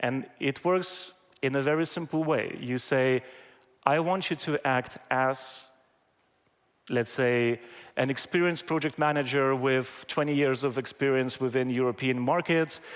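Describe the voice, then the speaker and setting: A man with a non-native accent, fairly slow with long, frequent pauses, his intonation fairly even and his loudness very even. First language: not English. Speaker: AI trainer, conference keynote speaker. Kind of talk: conference talk. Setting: stage with audience. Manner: hesitant, many fillers.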